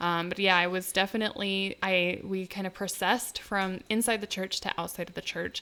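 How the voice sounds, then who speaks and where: A woman's loud, bright, sharp voice at medium pitch, monotone and flat, fairly quick with hardly any pauses. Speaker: podcast co-host. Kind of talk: casual chat.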